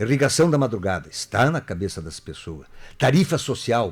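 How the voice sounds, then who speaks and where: A man talks at a moderate pace with music in the background. His voice shows very wide pitch swings. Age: 60s. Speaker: political candidate. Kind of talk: radio interview.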